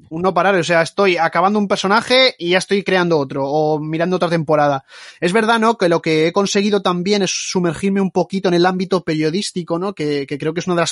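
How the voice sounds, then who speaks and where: Talking at a very fast pace, a man uses a high pitch with ordinary pitch variation, the sound dry and close with no echo. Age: 20s. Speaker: YouTube basketball documentary narrator. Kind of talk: podcast interview.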